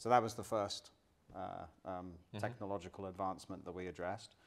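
Fairly even intonation from a man at moderate speed. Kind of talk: interview answer. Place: studio.

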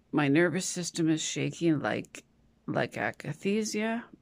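A shaky woman's voice, fairly low in pitch, moves at a very slow pace with lively intonation. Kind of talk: casual vlog chat. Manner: dizzy, shaky, unwell voice. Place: home room. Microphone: phone near.

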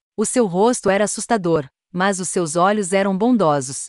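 A normal speaking voice at a moderate pace, ordinary pitch variation, dry, close sound with no echo. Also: woman, quiet background. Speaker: horror story narrator. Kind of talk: scripted horror story narration, first-person ghost tale.

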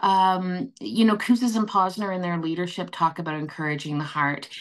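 A woman with a Canadian accent speaks at a moderate pace with lively intonation. The background is quiet. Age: 60s. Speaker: nursing association CEO; guest. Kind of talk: panel discussion. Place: home room. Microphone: video call.

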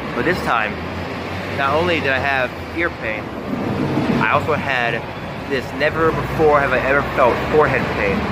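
Loud background noise fills the recording. A man speaks at a moderate pace. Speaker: vlogger. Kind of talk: casual vlog chat. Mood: annoyed, complaining. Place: street. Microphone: phone near.

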